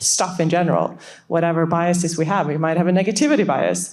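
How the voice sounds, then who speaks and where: In a Swedish accent, a woman talks at a fairly quick pace with a medium pitch and ordinary pitch variation. There is audible room echo. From Sweden. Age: 40s. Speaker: startup CEO. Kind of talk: panel discussion.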